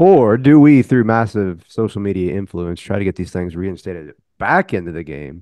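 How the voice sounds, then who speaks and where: A man's unremarkable speaking voice, fairly low in pitch, with lively intonation, big swings in loudness and a moderate pace. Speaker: podcast co-host. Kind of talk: casual chat.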